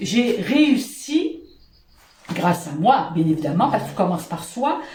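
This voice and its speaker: Somewhat breathy and with a Quebec accent, a woman speaks at a moderate pace with very wide pitch swings. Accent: Québécois French. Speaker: positive-thinking vlogger. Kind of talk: casual talk to camera. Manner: upbeat, energetic.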